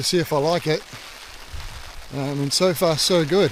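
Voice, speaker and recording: With a New Zealand accent, a man talks at a fairly high pitch and with fairly even intonation over noticeable background noise. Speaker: hiker vlogger. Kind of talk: travel vlog. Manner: casual, hesitant with ums; whispering.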